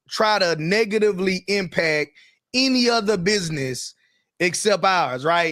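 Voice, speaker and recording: This man has a Carolinas accent and a high pitch, talking at a fairly slow pace with lively intonation in a dry, close sound with no echo. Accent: Southern US, Carolinas. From US South, the Carolinas. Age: 30s. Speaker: entrepreneur and online business show co-host. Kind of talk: casual live-stream discussion.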